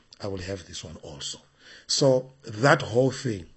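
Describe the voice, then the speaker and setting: Vocal fry runs through speech delivered at a moderate pace. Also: man. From Zimbabwe. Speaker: bishop and preacher. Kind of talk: interview.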